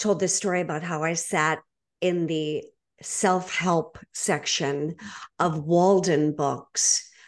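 A woman talks very slowly. Her intonation stays fairly even. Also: quiet background. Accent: American. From Boston, Massachusetts. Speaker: podcast host, divorce coach. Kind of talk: interview conversation.

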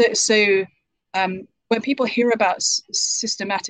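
In a British accent, a woman talks at a medium pitch with ordinary pitch variation. The sound is dry and close, with no echo. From UK. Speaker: author. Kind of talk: interview answers.

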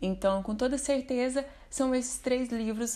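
A woman in a plain, everyday voice, at a fairly slow pace with fairly even intonation. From Minas Gerais, Brazil (Uberlândia). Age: 20s. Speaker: book recommender. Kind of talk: recorded testimony.

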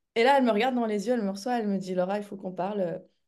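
Speaking at a very fast pace, a woman uses medium pitch with ordinary variation. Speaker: speaker and coach. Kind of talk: casual interview chat.

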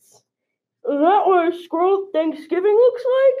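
An extremely high, put-on character voice speaks at a fairly slow pace.

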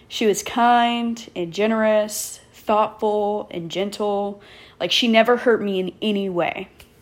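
A woman with an American accent at a fairly high pitch, very slow in pace, with fairly even intonation. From Texas, Killeen area. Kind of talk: personal storytelling monologue. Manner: casual, laughing often.

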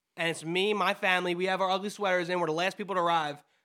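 In a very clean recording with a silent background, a man talks very fast in a raised, projected voice that is high-pitched and bright and sharp in tone. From New Jersey. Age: 20s. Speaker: podcast co-host. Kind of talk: casual chat.

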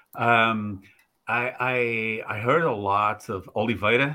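A man speaks with a Portuguese accent and fairly even intonation. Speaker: podcast co-host. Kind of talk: casual interview.

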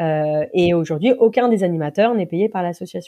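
A dark, mellow tone with ordinary pitch variation comes through over a quiet background. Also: woman. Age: 40s. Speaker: association founder, former media engineer. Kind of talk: interview. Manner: hesitant, many fillers.

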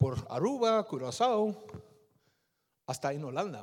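A man speaks in an animated tone at a high pitch. His pitch swings very widely while his pace stays fairly slow. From Netherlands, Surinamese-Indonesian parents. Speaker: lay preacher. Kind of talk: sermon with testimony. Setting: church.

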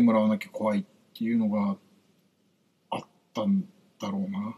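The voice belongs to a man. His delivery is fairly quick. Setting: livestream with viewer comments. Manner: fast.

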